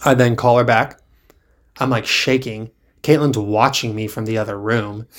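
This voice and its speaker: On a very clean recording with a silent background, a man speaks fairly quickly at medium pitch with fairly even intonation. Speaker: podcast co-host. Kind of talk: casual chat. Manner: monotone, not very expressive.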